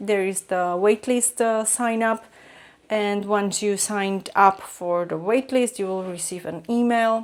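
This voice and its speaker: With a Slovak accent, a woman speaks fairly slowly at medium pitch with fairly even intonation. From Slovakia. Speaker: vlogger, artist. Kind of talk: vlog. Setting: at home, kitchen table. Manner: halting, many fillers.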